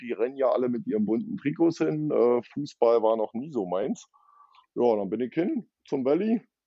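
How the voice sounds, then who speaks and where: A man's voice with very wide swings in pitch. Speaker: ice hockey fan liaison. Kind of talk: casual chat. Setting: remote line. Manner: slow.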